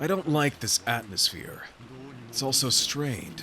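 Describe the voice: In a put-on character voice, a man speaks at a fairly slow pace with a medium pitch, big pitch swings and a bright, sharp tone.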